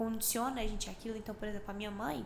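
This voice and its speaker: A soft-spoken woman with a fairly high pitch talks over noticeable background noise. There is audible echo in the room. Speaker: podcast co-host. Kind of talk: casual chat.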